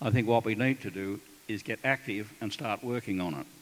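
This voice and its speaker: In an Australian accent, a man speaks at a moderate pace, his medium pitch showing ordinary variation. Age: 70s. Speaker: retired military officer. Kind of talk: panel talk at a town hall. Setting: town hall meeting with audience.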